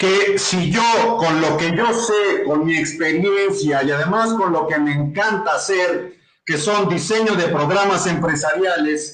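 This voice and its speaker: Very slow yet with hardly any pauses, a man talks in a high pitch with ordinary pitch variation and very even loudness. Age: 60s. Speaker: business consultant and entrepreneur. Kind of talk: interview. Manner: hesitant, with repetitions.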